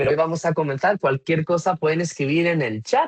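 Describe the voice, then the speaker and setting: Speaking at a fairly quick pace, a man with a Spanish accent has a high pitch and ordinary pitch variation, in a dry, close sound with no echo. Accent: Spanish (Spain). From Spain. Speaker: customer experience consultant. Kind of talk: webinar presentation.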